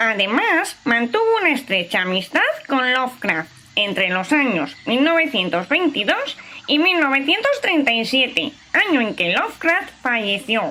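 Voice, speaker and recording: At a very slow pace, a woman performs a high-pitched put-on character voice with very wide pitch swings and very even loudness. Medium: audio drama. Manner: lecturing, confident.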